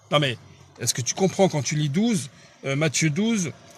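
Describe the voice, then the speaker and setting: At a moderate pace, a man talks with lively intonation and a fairly high pitch. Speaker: preacher. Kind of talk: bible study teaching. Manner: halting.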